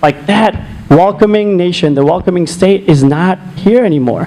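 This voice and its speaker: A high-pitched man's voice at a moderate pace with ordinary pitch variation, over noticeable background noise. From India. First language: non-English (Indian language). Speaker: political candidate. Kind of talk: closing statement at candidate forum.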